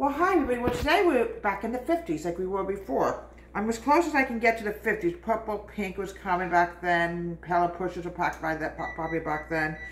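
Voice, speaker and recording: A woman speaks at medium pitch with very wide pitch swings over noticeable background noise. Her pace is very fast, with hardly any pauses. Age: 60s. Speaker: home cooking video host. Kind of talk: cooking tutorial with reminiscing. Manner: casual, chatty.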